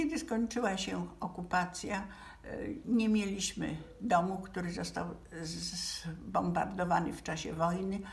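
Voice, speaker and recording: A woman speaks at a fairly slow pace, her loudness swinging widely. Audible room echo and noticeable background noise fill the clip. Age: 80s+. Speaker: relative of a Nazi victim. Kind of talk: memorial address. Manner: halting.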